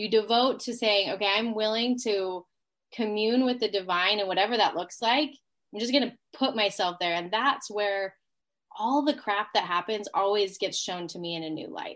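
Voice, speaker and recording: With an ordinary speaking voice, a woman talks at a fairly high pitch with ordinary pitch variation. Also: moderate pace. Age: 30s. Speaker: energetic healer and business coach. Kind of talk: casual chat.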